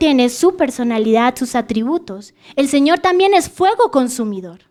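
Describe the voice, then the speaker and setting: The woman's voice is high in pitch and moves at a moderate pace. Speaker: preacher. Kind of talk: sermon.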